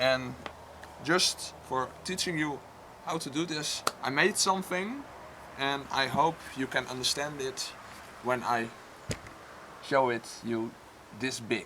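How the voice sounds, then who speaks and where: Over noticeable background noise, a man at medium pitch speaks at a very slow pace with long, frequent pauses and ordinary pitch variation. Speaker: crafts YouTuber. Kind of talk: tutorial. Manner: halting.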